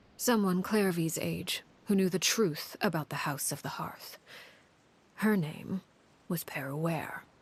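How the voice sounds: A woman's put-on character voice, fairly low in pitch with a slightly husky edge, slow in pace with ordinary pitch variation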